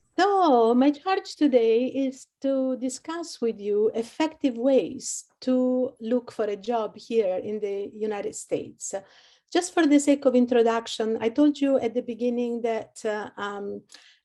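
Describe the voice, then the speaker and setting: Dark and mellow in tone, a woman's fairly high voice moves at a fairly slow pace with ordinary pitch variation. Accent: Italian. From Italy, Rome. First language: Italian. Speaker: career services advisor. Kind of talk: webinar presentation.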